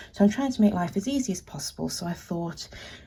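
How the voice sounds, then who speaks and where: A woman with a British accent uses lively intonation. Her tone is dark and mellow, and somewhat breathy. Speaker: artist and small business owner. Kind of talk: art supply swatching tutorial.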